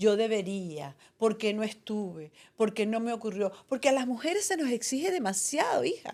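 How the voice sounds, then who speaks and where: A woman speaks at a moderate pace with a fairly high pitch and very wide swings in pitch. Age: 70s. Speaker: retired journalist and podcast co-host. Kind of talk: casual chat.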